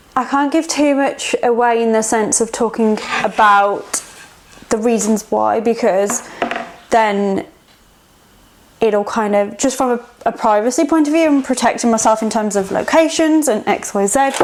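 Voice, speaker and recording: A woman talks in a relaxed tone at a moderate pace, fairly high in pitch with ordinary pitch variation. Noticeable background noise is present. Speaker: artist and art workshop facilitator. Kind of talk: casual vlog talk while working. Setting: art studio. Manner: relaxed, hesitant with fillers.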